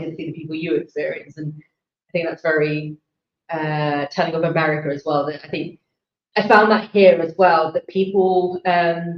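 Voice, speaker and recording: This woman has a fairly low pitch and a British accent. Her intonation is monotone and flat, and her pace is fairly quick. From England. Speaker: election night panelist. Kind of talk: panel discussion.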